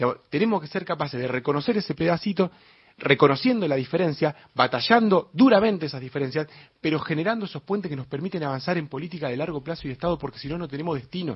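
A man's fairly high-pitched voice races along at a very fast pace, his intonation lively. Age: 30s. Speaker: mayoral candidate, politician. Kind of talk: radio interview. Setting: studio.

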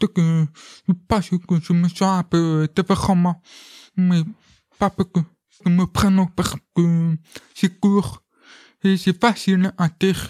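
Very slow, with long, frequent pauses, a man speaks at a high pitch in a dark, mellow tone with monotone, flat intonation and very even loudness, in a dry, close sound with no echo. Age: 20s. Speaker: deaf actor and film student. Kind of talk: interview testimony. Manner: halting.

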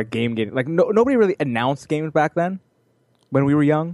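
A man talks in an ordinary speaking voice at a fairly high pitch with lively intonation. The sound is dry and close, with no echo. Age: 20s. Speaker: podcast co-host. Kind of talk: casual chat.

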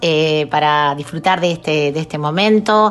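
The speaker talks with an Argentine accent and ordinary pitch variation. Noticeable background noise runs underneath. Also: woman. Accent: Rioplatense Argentine Spanish. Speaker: radio host. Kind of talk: radio music program chat and interview. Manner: warm, conversational.

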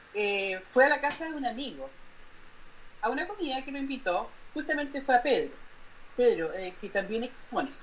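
A woman's high voice with very wide pitch swings, big swings in loudness, and long, frequent pauses. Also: moderate pace. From northern Chile. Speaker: painter. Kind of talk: interview.

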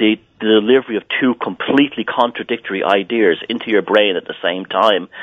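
A man speaks in an Irish accent at a fairly low pitch. His pace is fairly quick and his intonation fairly even. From Southern Ireland. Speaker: author and artist. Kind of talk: interview. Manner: halting.

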